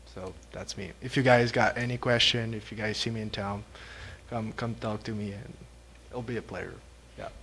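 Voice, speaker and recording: Bright and sharp in tone yet monotone and flat, the voice comes with long, frequent pauses and audible room echo. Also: man, medium pitch for a man, moderate pace. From Quebec. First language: French. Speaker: police constable. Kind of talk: self-introduction at council meeting. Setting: town council meeting. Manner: halting.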